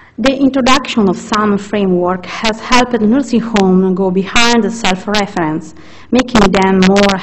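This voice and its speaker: A woman with a medium pitch and fairly even intonation talks at a moderate pace, with noticeable background noise and room echo. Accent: Italian. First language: Italian. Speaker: researcher. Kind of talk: conference presentation. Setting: conference session. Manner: halting.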